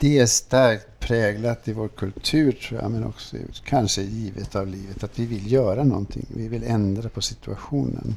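Speaking at a moderate pace with hardly any pauses, a man has a fairly low, somewhat breathy voice and ordinary pitch variation. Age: old. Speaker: priest. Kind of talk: interview. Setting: café with small audience.

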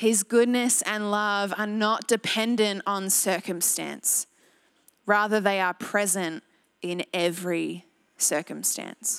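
Very slow, fairly even speech from a woman with an Australian accent at a medium pitch, the sound dry and close with no echo, on a very clean recording with a silent background. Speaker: pastor. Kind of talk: sermon. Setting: church.

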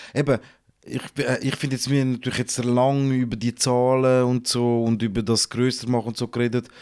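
A man speaks at a fairly quick pace in a monotone, flat delivery. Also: medium pitch for a man. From Switzerland, St. Gallen region. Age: 30s. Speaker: rapper and TV host. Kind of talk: casual chat.

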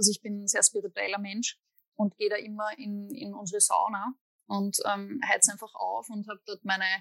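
The speaker is a woman. Her pitch is fairly high. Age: 30s. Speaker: musician and psychologist. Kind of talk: interview.

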